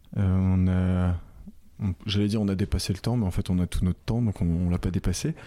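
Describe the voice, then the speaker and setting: This man's voice has a dark, mellow tone. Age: 20s. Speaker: podcast host. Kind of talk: interview. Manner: halting with many repetitions.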